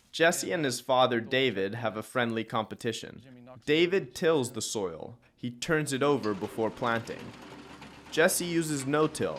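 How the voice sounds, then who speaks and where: Speaking in an unremarkable speaking voice, a man with an American accent talks fairly slowly at a medium pitch. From New York City. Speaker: travel show host. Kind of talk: scripted narration.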